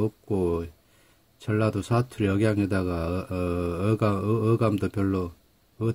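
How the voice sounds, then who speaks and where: At a moderate pace, a man talks in a fairly low, monotone, flat voice. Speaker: English grammar teacher. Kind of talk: lecture. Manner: halting, self-described awkward speech.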